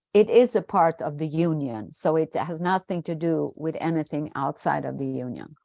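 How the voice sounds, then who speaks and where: A woman speaks at a very deep, low pitch with a dark, mellow tone and ordinary pitch variation. Her fairly slow delivery sounds dry and close, with no echo. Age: 60s. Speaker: trade union representative. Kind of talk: Q&A answer at online seminar. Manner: halting.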